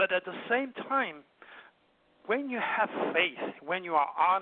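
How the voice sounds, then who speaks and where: Lively intonation at a moderate pace. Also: man. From southern France, Provence. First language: French. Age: 70s. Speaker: astrologer and hypnotherapist. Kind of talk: interview. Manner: animated.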